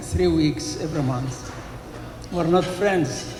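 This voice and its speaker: With a non-native accent, a man speaks in a high voice with ordinary pitch variation, amid audible room echo and noticeable background noise. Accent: foreign accent, confuses B and P. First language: Arabic. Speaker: father of the groom, teacher. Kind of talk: wedding speech. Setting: wedding reception hall.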